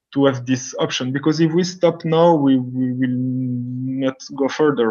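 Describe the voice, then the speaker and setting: At a moderate pace, a man with a non-native accent speaks with a fairly high pitch. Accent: non-native English, self-described weak. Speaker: scientist. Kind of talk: Q&A after lecture. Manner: halting, many repetitions.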